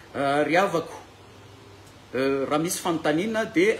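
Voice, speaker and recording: A man with a Malagasy accent talks fairly quickly at a fairly high pitch with lively intonation. Noticeable background noise and audible room echo surround him. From Madagascar. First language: Malagasy (speaking French). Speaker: bible teacher. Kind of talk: lecture. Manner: halting.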